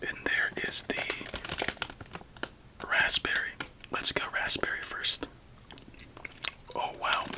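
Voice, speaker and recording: Whispering, a man speaks at a very slow pace with long, frequent pauses. Noticeable background noise can be heard. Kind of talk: ASMR candy taste test, soft-spoken talk to camera. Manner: soft-spoken, whispered.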